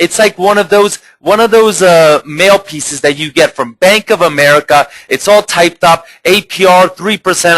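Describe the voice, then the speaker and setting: A man with a high voice and a bright, sharp, animated tone speaks at a moderate pace with ordinary pitch variation, the sound dry and close with no echo. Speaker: marketing webinar presenter. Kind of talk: live webinar presentation. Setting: live online broadcast with chat.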